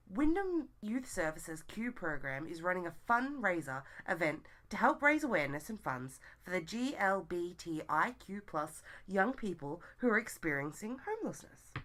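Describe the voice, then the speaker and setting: A woman with an Australian accent speaks at a moderate pace in a medium pitch, with very wide pitch swings and big swings in loudness. The recording is very clean, with a silent background. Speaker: community podcast co-host. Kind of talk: reading community event listings.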